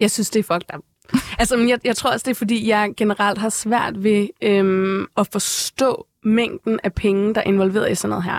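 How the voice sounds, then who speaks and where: A woman speaks in a normal speaking voice with medium pitch, fairly even intonation and a fairly slow pace. The sound is dry and close with no echo, in a very clean recording with a silent background. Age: 20s. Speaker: photographer and K-pop expert. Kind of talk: casual chat. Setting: studio.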